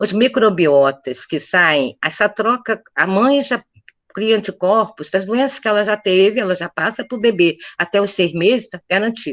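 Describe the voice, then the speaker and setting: Using a normal speaking voice, a woman of medium pitch talks at a fairly slow pace with lively intonation. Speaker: pediatrician. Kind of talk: panel talk.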